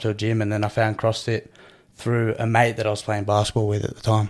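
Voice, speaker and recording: An Australian accent comes through at a very fast pace. The recording is very clean, with a silent background. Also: man. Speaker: CrossFit athlete and coach. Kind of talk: casual interview chat.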